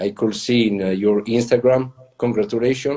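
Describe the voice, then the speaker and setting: A man talks with an Italian accent at medium pitch. His pace is moderate and his pitch variation ordinary. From Italy. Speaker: latte art pioneer and trainer. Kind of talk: interview. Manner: halting.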